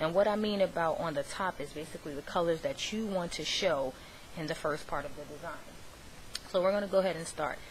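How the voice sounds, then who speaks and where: This woman talks at a very fast pace with a fairly low pitch and ordinary pitch variation. Her loudness swings widely over noticeable background noise. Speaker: craft tutorial vlogger. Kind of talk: tutorial.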